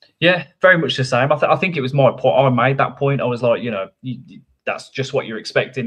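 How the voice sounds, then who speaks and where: In a Birmingham accent, the speaker rushes along at a very fast pace with hardly any pauses, ordinary pitch variation and big swings in loudness. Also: man. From Birmingham, England. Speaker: podcast co-host and runner. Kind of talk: casual chat. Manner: halting, many false starts.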